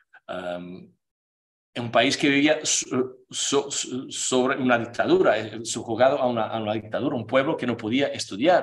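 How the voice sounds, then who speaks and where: A man speaks with a Portuguese accent and lively intonation. His pace is very slow. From Portugal. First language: Portuguese (speaking Spanish). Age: 40s. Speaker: playwright; speaker. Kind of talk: lecture. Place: meeting room. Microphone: podium.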